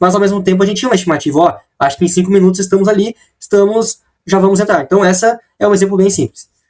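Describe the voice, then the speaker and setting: Talking at a very fast pace, a man with a high voice keeps his intonation fairly even and his loudness very even, in a dry, close sound with no echo. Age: 20s. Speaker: engineering student. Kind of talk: class presentation. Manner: casual, conversational.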